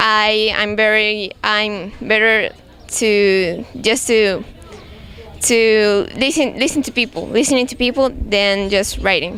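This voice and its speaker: A woman with a Spanish accent and a fairly high pitch speaks at a very slow pace with ordinary pitch variation, over noticeable background noise. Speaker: English language student. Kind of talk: class presentation. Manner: halting, many restarts.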